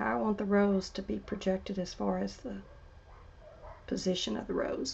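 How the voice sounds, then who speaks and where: A woman is speaking. Her pace is moderate. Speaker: artist. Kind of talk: tutorial. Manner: quiet at times, voice drops; casual, thinking aloud.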